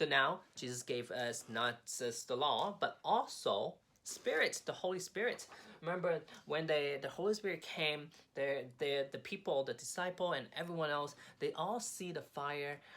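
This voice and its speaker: Speaking at a moderate pace with a Cantonese accent, a man uses a fairly high pitch, lively intonation and a bright, sharp tone. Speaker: craft instructor. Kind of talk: tutorial. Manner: halting, with repetitions and fillers.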